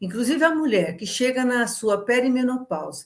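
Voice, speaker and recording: A woman speaks in a high voice with very wide pitch swings, captured in a very clean recording against a silent background. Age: 70s. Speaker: nutritionist and women's health educator. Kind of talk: educational talk. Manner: conversational, addresses audience directly.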